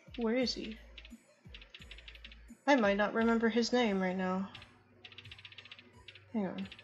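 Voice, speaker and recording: A woman's voice at a fairly slow pace, with long, frequent pauses, fairly even intonation and music in the background. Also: medium pitch for a woman. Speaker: gamer doing a playthrough voiceover. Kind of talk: casual game commentary. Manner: hesitant, stammering.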